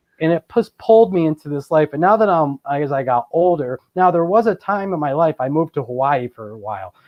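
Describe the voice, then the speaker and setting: Hardly pausing, a man with a fairly high pitch and an American accent talks at a fairly quick pace with lively intonation. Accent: Boston, slight, shows now and then. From Boston, US. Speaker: paranormal and Bigfoot researcher. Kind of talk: interview. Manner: casual, many fillers.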